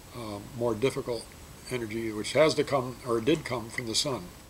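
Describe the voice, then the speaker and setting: Somewhat breathy, a man speaks at medium pitch. His pitch variation is ordinary. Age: 70s. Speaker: energy educator and author. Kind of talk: explanatory talk to students.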